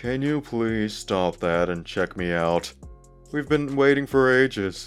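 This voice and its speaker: Using a put-on character voice, a man speaks at a medium pitch and a fairly slow pace with lively intonation while faint music plays in the background. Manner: impatient, sassy.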